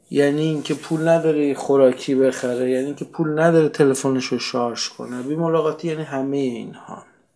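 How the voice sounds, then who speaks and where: A man talks at a fairly quick pace with hardly any pauses. His fairly high voice has a dark, mellow tone and flat, monotone intonation. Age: 40s. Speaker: podcast narrator. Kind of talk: solo podcast narration.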